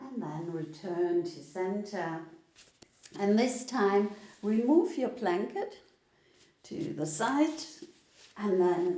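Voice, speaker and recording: In a German accent, the speaker talks very slowly in a calm tone, with very wide pitch swings and long, frequent pauses. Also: woman, medium pitch for a woman. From Germany. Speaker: yoga teacher. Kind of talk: live online yoga class instruction. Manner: slow, calm.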